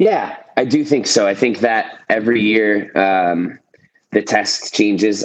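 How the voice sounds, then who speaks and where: A man talks in a plain, everyday voice with a fairly low pitch and ordinary pitch variation. His pace is fairly slow and his loudness very even. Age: 30s. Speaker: professional CrossFit athlete. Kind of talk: casual interview chat.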